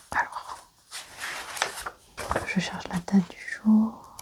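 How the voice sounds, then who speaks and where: The words come out in a whisper, delivered very slowly. Background noise is clearly audible. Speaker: ASMR creator playing an archaeologist. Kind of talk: ASMR roleplay, soft spoken. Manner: soft-spoken.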